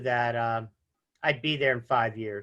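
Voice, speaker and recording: The voice has a bright, sharp tone and a fairly slow pace. The background is quiet. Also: man. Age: 60s. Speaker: insurance agent. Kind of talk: interview. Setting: studio.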